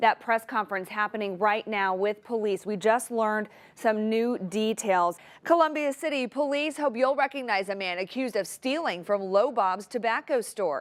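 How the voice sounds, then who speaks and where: A woman with an ordinary speaking voice, fairly high in pitch, with lively intonation and a moderate pace, on a very clean recording with a silent background. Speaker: TV news anchor and reporter. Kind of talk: TV news anchor delivery. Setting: TV newsroom studio. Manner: polished, professional, clear.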